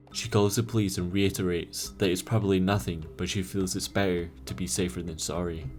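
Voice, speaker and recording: Music plays in the background as a man talks at a fairly quick pace. His very deep, low voice has lively intonation. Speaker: YouTube storyteller. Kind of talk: true horror story narration.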